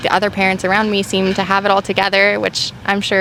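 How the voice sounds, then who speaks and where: A woman with a medium-pitched voice talks while noticeable background noise carries on. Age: 20s. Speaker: parent and digital artist interviewed on the street. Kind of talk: street interview. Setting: outdoors.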